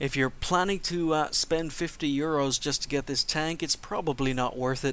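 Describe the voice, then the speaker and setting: A man speaks with a fairly high pitch and very even loudness. The recording is very clean, with a silent background. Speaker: video game reviewer. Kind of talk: game review commentary. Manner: fast.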